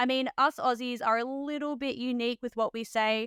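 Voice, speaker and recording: A woman speaks with ordinary pitch variation. The sound is dry and close, without echo. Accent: Australian. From Australia. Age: 30s. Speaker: podcast host, registered nurse. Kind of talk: podcast interview. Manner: animated.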